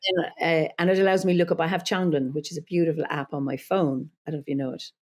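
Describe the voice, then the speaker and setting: A woman with an Irish accent at a very fast pace, fairly low in pitch with ordinary pitch variation. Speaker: druid leader and psychologist. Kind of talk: podcast interview.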